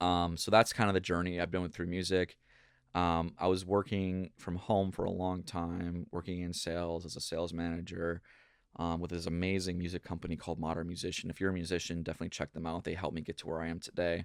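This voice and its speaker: Speaking very fast in a monotone, flat intonation, a man with a very deep, low pitch and an American accent is heard on a very clean recording over a silent background. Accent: Minnesota accent, comes out now and then. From Minnesota. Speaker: pop punk singer-songwriter. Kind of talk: casual interview chat.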